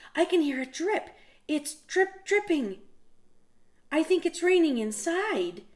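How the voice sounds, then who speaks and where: The speaker uses a put-on character voice with extremely high pitch. The pace is fairly slow, with long, frequent pauses. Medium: read story. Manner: anxious, pleading.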